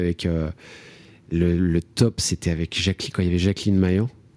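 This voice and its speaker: The recording is very clean, with a silent background. A man speaks in a very deep, low voice with a dark, mellow tone. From France, Nièvre (rural Burgundy). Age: 40s. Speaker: comedian and actor. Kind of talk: interview. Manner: hesitant, many fillers.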